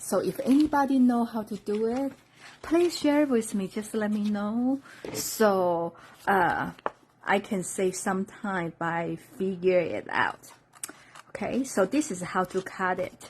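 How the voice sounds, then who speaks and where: Speaking at a very slow pace with a Chinese accent, a woman uses lively intonation at a medium pitch. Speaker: craft demonstrator. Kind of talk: live-stream craft tutorial.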